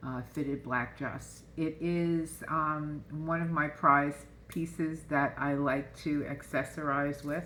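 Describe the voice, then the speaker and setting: In a room with audible echo, a woman with a bright, sharp tone and a very deep, low pitch speaks very slowly with hardly any pauses, her intonation monotone and flat. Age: 70s. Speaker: tarot card reader. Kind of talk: casual oracle card reading to camera. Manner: chatty, informal with fillers.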